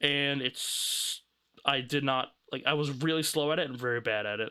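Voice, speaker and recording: A man speaks at a fairly high pitch and a moderate pace, with ordinary pitch variation. His tone is bright and sharp on a very clean recording with a silent background. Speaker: streamer critiquing own old video. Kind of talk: casual live stream commentary.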